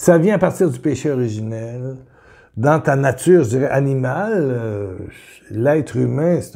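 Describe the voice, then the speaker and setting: Against a quiet background, a man with a dark, mellow tone sounds somewhat breathy and uses lively intonation. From Quebec. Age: 70s. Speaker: preacher; religious teacher. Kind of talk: video sermon. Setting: home kitchen. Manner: animated. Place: home room. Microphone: webcam.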